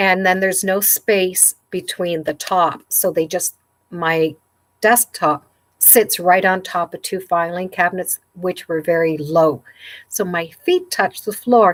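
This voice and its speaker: An ordinary speaking voice comes through at a fairly slow pace with fairly even intonation. The sound is dry and close with no echo, on a very clean recording with a silent background. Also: woman, medium pitch for a woman. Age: 60s. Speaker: sewing YouTuber. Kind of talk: live stream chat. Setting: home sewing room, livestream. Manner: casual, chatty.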